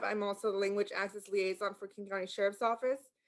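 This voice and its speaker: A woman with a Spanish accent and a medium-pitched voice. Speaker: sheriff's office language access liaison. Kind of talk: community meeting presentation. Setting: video call. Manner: halting, many fillers.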